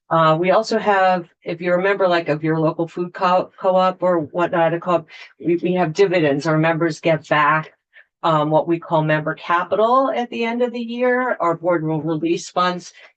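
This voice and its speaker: A woman with an unremarkable speaking voice talks at a moderate pace, her fairly low pitch showing ordinary variation. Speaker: utility representative. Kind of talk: testimony.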